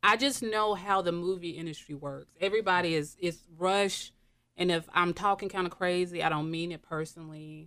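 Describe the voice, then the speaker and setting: A woman speaks at a fairly low pitch in a bright, sharp tone, at a moderate pace. Her pitch varies in an ordinary way on a very clean recording with a silent background. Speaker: hair and makeup artist. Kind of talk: casual chat. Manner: animated.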